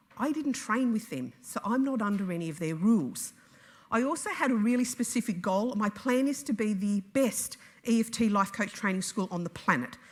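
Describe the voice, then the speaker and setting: The voice carries an Australian accent and lively intonation. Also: woman, fairly high pitch for a woman. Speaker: EFT trainer and business owner. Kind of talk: conference talk. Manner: fast; nervy.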